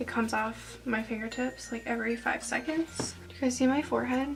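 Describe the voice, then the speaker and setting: A woman's quiet whispering over noticeable background noise. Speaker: beauty youtuber. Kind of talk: makeup tutorial chat. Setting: at home, early morning. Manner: quiet half whisper.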